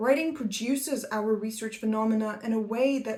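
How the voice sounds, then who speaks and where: A non-native accent at a moderate pace, with ordinary pitch variation and noticeable background noise. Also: woman. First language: not English. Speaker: academic YouTuber, PhD researcher. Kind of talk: scripted educational talk. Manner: formal.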